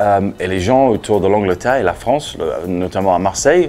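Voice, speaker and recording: A man speaks with a Leeds accent while music plays in the background. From Leeds, England. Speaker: anti-litter campaigner, former English teacher. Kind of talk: interview answer. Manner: direct, persuasive.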